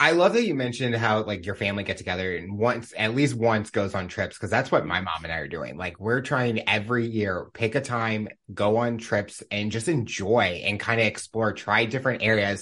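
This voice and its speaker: An unremarkable speaking voice from a man, fairly low in pitch, at a moderate pace with ordinary pitch variation, hardly any pauses and a quiet background. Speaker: podcast host. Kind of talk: interview conversation. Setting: video call.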